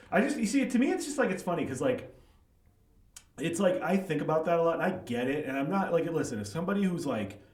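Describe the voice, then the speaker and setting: A man with an American accent at a high pitch and a very fast pace, with very wide pitch swings, audible room echo and noticeable background noise. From US Midwest, Chicago suburbs. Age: 40s. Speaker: writer and author. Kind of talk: casual interview chat. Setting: livestreamed podcast.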